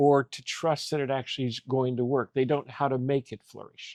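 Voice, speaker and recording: Here is a man with a plain, everyday voice, pitched fairly high and moving at a moderate pace. The recording is dry and close, with no echo. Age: 60s. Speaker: coach and mentor. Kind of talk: faith-based interview conversation.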